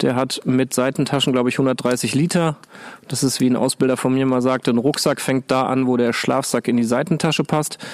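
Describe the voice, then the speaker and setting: This man's voice is mid-pitched and flat, staying monotone throughout. He keeps a moderate pace. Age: 40s. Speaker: climbing instructor. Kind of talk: casual chat. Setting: outdoors.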